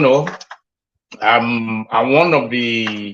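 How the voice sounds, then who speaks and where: The man's pitch sits in the medium range, and his tone is bright and sharp. He talks at a very slow pace with fairly even intonation. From Nigeria (Ekiti, Yoruba). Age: 60s. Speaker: caller. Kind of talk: casual chat. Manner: halting.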